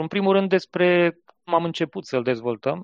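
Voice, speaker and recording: A man speaks fairly slowly in a high pitch with ordinary pitch variation. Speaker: software company founder. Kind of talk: podcast interview.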